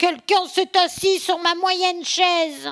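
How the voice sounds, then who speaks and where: Put-on character voice from a woman, extremely high in pitch, at a fairly slow pace. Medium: read story. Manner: exclaiming.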